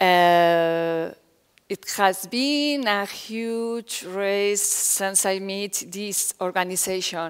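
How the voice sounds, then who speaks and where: Very slow and medium-pitched, a woman speaks with ordinary pitch variation in a very clean recording with a silent background. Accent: Spanish. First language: Spanish. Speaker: foundation director. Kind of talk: conference talk. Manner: halting.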